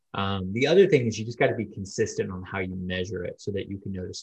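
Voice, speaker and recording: A man with a fairly low pitch talks at a very fast pace. His voice is somewhat breathy. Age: 30s. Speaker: online pastor. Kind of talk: casual interview.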